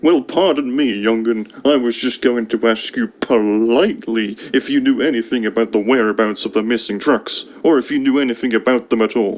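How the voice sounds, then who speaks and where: A man's cartoonish character voice at a medium pitch and a moderate pace. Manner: curt, grumbling.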